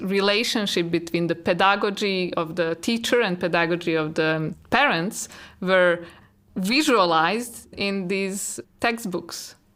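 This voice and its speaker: A woman speaks at a fairly slow pace. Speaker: artist and art teacher. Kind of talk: interview monologue. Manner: loud.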